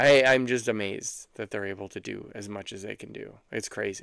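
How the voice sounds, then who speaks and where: This man speaks at a fairly quick pace with vocal fry. His intonation stays fairly even. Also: very clean recording, silent background. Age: 40s. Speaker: podcast co-host, new father. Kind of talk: casual chat.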